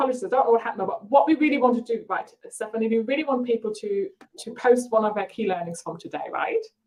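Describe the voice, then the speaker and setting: At a very fast pace, a woman with a German accent and a fairly high pitch speaks with lively intonation and big swings in loudness. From Germany. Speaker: marketing coach. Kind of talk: live webinar. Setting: live video stream. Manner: energetic.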